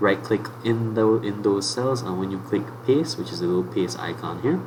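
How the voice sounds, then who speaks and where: Speaking at a moderate pace, a man with a fairly low pitch makes very wide pitch swings, amid noticeable background noise and audible room echo. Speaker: teacher. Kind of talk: tutorial. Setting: live online class.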